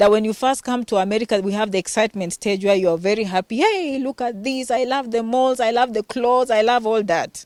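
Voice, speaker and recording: A Kenyan accent with ordinary pitch variation, on a very clean recording with a silent background and a dry, close sound with no echo. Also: woman. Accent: authentic Kenyan. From Western Kenya. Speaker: healthcare worker and vlogger. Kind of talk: interview.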